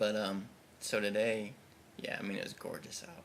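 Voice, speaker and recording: A man talks at a fairly quick pace. His voice carries audible room echo along with noticeable background noise. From US Midwest. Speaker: video blogger. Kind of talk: casual video diary. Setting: indoors at home by a window. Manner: hesitant, many fillers.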